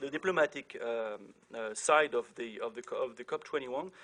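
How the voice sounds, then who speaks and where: This man talks at a fairly slow pace. He has a French accent. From France. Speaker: diplomat moderating a panel. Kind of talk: panel introduction. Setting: conference with audience. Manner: hesitant, many fillers.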